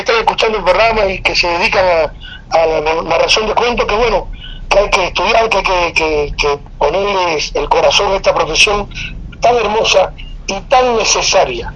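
High-pitched male voice, moderate tempo, background noise clearly noticeable. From Cuba. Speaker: oral storyteller and artist. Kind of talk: casual interview.

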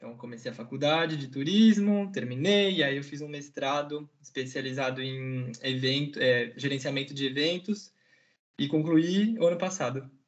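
Moving at a moderate pace, a man with a fairly high pitch and ordinary pitch variation shows big swings in loudness in an unremarkable speaking voice. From Brazil, São Paulo city. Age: 20s. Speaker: master's student. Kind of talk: casual interview.

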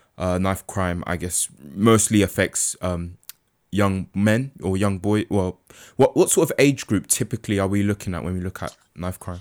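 At a moderate pace with ordinary pitch variation, the voice sits in a very clean recording with a silent background and a dry, close sound with no echo. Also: man, fairly low pitch for a man. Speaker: podcast host. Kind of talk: interview. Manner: halting.

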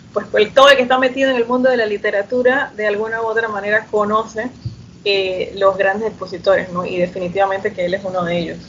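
A woman talks very fast with fairly even intonation, her voice fairly high. Noticeable background noise can be heard. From Panama, Chiriquí. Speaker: podcast host. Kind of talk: interview.

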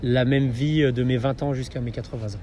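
A man speaks at a medium pitch with fairly even intonation, and the recording carries noticeable background noise and audible room echo. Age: 30s. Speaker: adventure photographer and dog-sled guide. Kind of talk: interview. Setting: in person. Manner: halting, with frequent repetitions and fillers.

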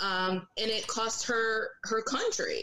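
This woman's voice is fairly high in pitch, with a bright, sharp tone. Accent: slight Southern Virginia. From Virginia Beach, US. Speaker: panelist. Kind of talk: casual chat. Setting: video call.

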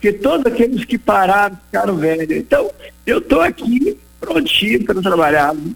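Noticeable background noise surrounds a man speaking at a moderate pace. His voice is high and swings very widely in pitch. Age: 80s+. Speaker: retired businessman and campaign founder. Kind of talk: radio interview; appeal to listeners.

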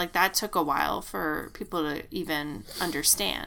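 A woman's bright, sharp voice with vocal fry at a moderate pace. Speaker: podcast co-host. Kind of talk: casual chat.

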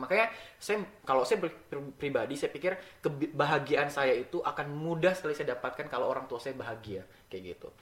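A man with a plain, everyday voice talks at a fairly quick pace, his fairly high pitch carried by lively intonation. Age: 20s. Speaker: podcast guest. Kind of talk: casual interview.

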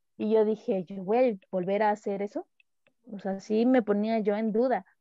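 At a moderate pace, a woman with a normal speaking voice speaks at a medium pitch with fairly even intonation. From Mexico, Tabasco. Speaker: professional footballer. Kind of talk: casual interview. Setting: call.

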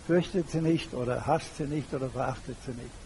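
A man's fairly high pitch with ordinary pitch variation, amid noticeable background noise. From Germany. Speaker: retired banker and public speaker. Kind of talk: lecture.

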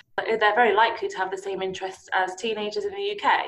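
Noticeable background noise sits behind a woman's fairly high voice. She talks at a very fast pace with fairly even intonation. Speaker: podcast host. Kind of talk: casual interview chat.

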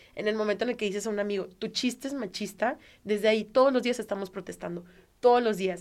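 Talking at a very fast pace, a woman with a Mexican accent keeps a medium pitch and fairly even intonation. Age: 30s. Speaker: stand-up comedian. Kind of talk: casual interview chat.

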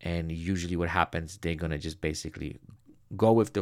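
A man's very deep, low voice with vocal fry and a non-native accent, a fairly quick pace, ordinary pitch variation, and a very clean recording with a silent background. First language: not English. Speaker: headshot photographer. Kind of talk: solo podcast monologue.

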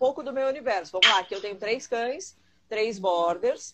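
A woman is speaking. Her intonation is lively. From Rio Grande do Sul, Brazil. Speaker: dog trainer. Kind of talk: live-stream interview.

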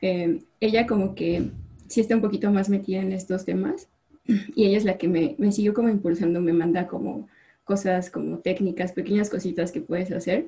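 At a moderate pace, a woman speaks with a dark, mellow tone and vocal fry, medium in pitch with ordinary variation. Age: 20s. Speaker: chemical engineer. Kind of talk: casual chat.

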